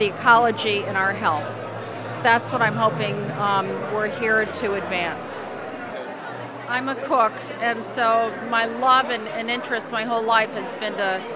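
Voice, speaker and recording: A woman speaks at a fairly slow pace, with long, frequent pauses. The sound is dry with no echo, and crowd noise fills the background. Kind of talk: interview answer. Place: hall. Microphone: handheld.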